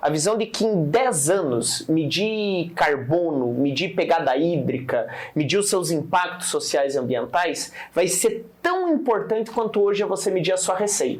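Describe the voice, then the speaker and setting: There is noticeable background noise and audible room echo. A man with a high pitch speaks at a very even loudness. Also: lively intonation, fairly slow pace. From Paraná interior, Brazil. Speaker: startup founder. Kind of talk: interview.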